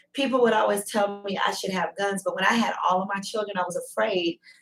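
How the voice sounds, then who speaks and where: Music plays in the background as a woman talks at a fairly quick pace, her medium-pitched voice showing ordinary pitch variation. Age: 40s. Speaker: true crime podcast host. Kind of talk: casual panel discussion.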